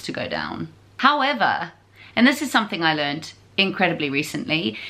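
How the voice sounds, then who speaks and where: Moderate-paced speech from a woman. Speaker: home renovation vlogger. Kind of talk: casual vlog chat. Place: home room. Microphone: phone near.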